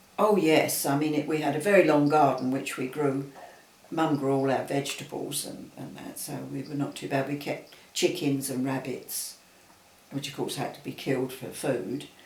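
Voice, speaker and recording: Audible room echo carries a man's fairly high-pitched voice at a moderate pace. His loudness swings widely while his intonation stays fairly even. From Southeast London. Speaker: interviewee recalling childhood. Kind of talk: casual chat. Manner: halting.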